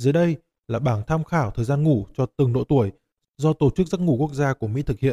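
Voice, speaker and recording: Quite breathy, with a dark, mellow tone, a man talks very fast at a fairly high pitch with ordinary pitch variation. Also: dry, close sound with no echo. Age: 30s. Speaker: podcast host. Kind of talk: scripted narration.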